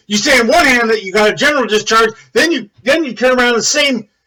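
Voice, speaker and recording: A man shouting in an extremely high-pitched, raised and projected voice. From United States. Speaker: military veteran video commentator. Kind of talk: angry rant video. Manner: loud, yelling.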